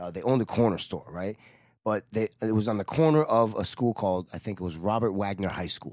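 A man with a New York accent talks at a fairly quick pace and a fairly low pitch. The recording is very clean and dry, close with no echo, over a silent background. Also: ordinary pitch variation. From New York City (Manhattan and Queens). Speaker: touring guitar technician for a metal band. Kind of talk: casual chat.

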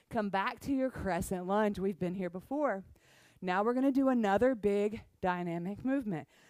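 Here is a woman with a plain, everyday voice at a medium pitch. She speaks at a moderate pace with ordinary pitch variation. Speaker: yoga instructor. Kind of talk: guided yoga class cueing poses and breath. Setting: online class recording. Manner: brisk, rhythmic instructional cueing of movement sequences; upbeat, encouraging and casually playful.

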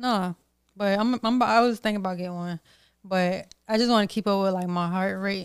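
An ordinary speaking voice at a moderate pace with fairly even intonation, recorded dry and close with no echo on a very clean track with a silent background. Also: woman, medium pitch for a woman. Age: 20s. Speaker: podcast host. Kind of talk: casual chat.

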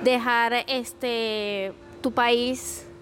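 The speaker is a woman with a high-pitched voice. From Venezuela. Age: 30s. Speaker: accountant sharing her story of chronic illness. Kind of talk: interview, personal testimony. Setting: in-person, in a café.

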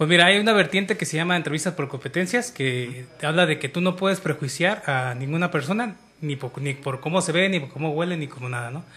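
A man rattles along at a very fast pace with a bright, sharp tone. His fairly high pitch shows ordinary variation. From Mexico, Michoacán. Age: 30s. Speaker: podcast co-host. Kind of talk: casual chat.

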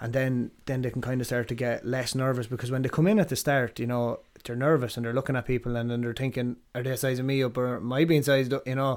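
A man with an Irish Midlands accent speaks at a medium pitch and a very fast pace. His intonation stays fairly even, with hardly any pauses. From Ireland, Athlone. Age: 30s. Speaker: martial arts coach and gym owner. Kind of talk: casual chat. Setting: in-person recording.

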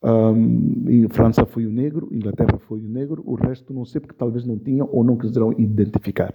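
Here is a man at medium pitch with an ordinary speaking voice. He speaks at a moderate pace. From São Tomé and Príncipe. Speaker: actor and storyteller. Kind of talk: interview.

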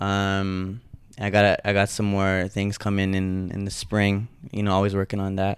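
Monotone and flat in intonation, a man talks at a moderate pace with a fairly low pitch. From Toronto, Canada. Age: 20s. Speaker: clothing entrepreneur. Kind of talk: interview.

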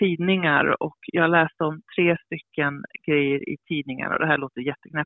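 A woman talks with ordinary pitch variation. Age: 50s. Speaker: author and publisher. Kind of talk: interview.

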